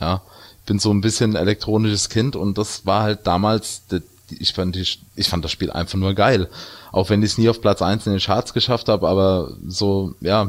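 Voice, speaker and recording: A man with fairly low pitch and an ordinary speaking voice at a moderate pace, on a very clean recording with a silent background. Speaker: video game podcast co-host. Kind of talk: casual chat.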